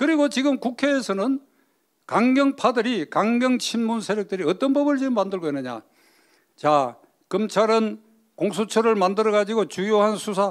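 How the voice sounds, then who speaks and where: At a moderate pace, a man with a high pitch speaks in lively intonation. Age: 80s+. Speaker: politician and lawyer. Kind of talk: political speech.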